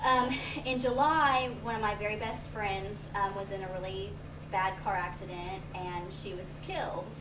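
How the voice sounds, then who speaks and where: Amid noticeable background noise and audible room echo, a woman speaks at medium pitch and a moderate pace. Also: ordinary pitch variation. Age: 20s. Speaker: college student. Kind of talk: class speech. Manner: hesitant, many fillers.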